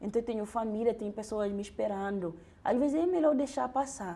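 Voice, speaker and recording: Her voice, a woman's, is fairly high in pitch with a dark, mellow tone. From Guinea-Bissau. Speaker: doctoral researcher. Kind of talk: interview conversation, personal testimony. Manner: halting, with repetitions and restarts.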